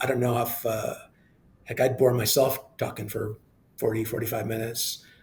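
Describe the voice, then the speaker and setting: Monotone and flat, a man talks at a medium pitch and a moderate pace. Long, frequent pauses break his speech amid noticeable background noise. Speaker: TV news anchor and sports play-by-play announcer. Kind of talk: interview answer. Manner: casual, chatty.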